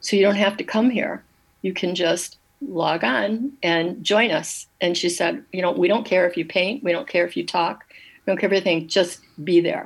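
A woman's medium-pitched voice with an Upper Midwest accent, lively intonation and a moderate pace. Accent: Upper Midwest American. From Michigan, Dearborn. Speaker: watercolor artist. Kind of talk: radio interview.

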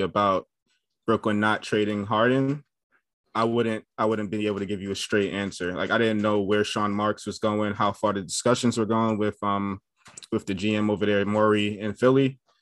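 A man with a fairly low voice and a New York accent. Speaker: basketball podcaster. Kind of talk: casual chat. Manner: halting.

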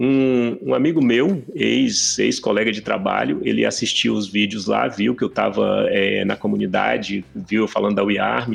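A man talks at a fairly slow pace with hardly any pauses and very even loudness over noticeable background noise. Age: 40s. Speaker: tech entrepreneur and airsoft player. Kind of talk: casual chat.

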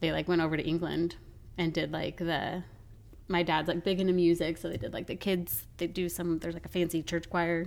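This woman has an American accent and a fairly low pitch, with vocal fry. Her delivery is monotone and flat at a fairly quick pace. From Colorado. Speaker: podcast co-host. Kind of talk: casual chat.

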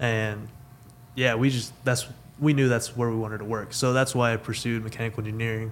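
The speaker talks fairly quickly with an American accent. The intonation stays monotone and flat. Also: man, medium pitch for a man. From Texas (Weatherford). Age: 20s. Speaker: mechanical engineer. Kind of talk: casual chat.

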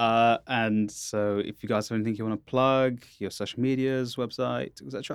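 This man has an unremarkable speaking voice at a medium pitch, with fairly even intonation. He talks at a moderate pace with hardly any pauses. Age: 20s. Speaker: podcast host. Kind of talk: casual chat. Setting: studio.

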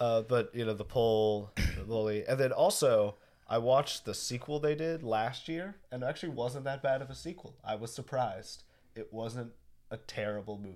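This is an unremarkable speaking voice at a moderate pace with ordinary pitch variation. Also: man, medium pitch for a man. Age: young. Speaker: podcast co-host. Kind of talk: casual chat.

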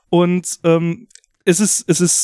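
A man with a high pitch and a dark, mellow tone speaks in a dry, close sound with no echo. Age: 30s. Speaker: video game podcast host. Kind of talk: casual chat.

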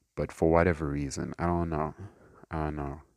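In a dry, close sound with no echo, a man with a very deep, low voice speaks at a moderate pace in a flat monotone. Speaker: podcast host. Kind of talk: solo casual monologue. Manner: rambling, conversational.

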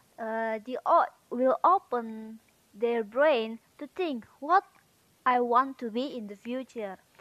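A high-pitched woman with an Indonesian accent, lively intonation, big swings in loudness, a very slow pace and a dry, close sound with no echo. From Indonesia, North Sumatra. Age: 18. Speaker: university student. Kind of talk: casual monologue, speaking practice. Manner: halting.

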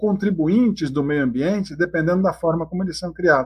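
A man speaks in a high pitch. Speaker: dairy farm owner. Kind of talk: podcast interview.

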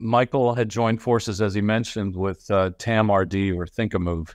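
Over a quiet background, a man speaks at a moderate pace with medium pitch and ordinary pitch variation. He has an unremarkable speaking voice. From Ohio, US. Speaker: marketing executive. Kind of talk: interview. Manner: frequent fillers (um, uh).

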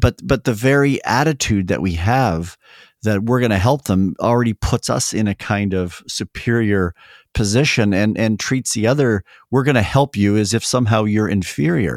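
With a Canadian accent and a normal speaking voice, a man talks at a moderate pace in a fairly low pitch with ordinary pitch variation and very even loudness, in a dry, close sound with no echo. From Canada. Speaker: theology professor. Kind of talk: interview.

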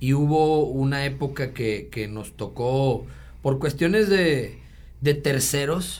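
A man with a fairly high pitch speaks very slowly and somewhat breathily in a room with audible echo. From Mexico, Monterrey. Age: 30s. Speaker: sports enthusiast and social media influencer. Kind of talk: casual chat.

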